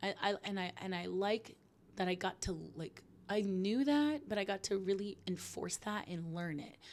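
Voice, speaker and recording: This woman has a plain, everyday voice with a medium pitch. Her pitch varies in an ordinary way. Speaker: podcast host. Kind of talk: solo podcast monologue. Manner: casual, filler-heavy.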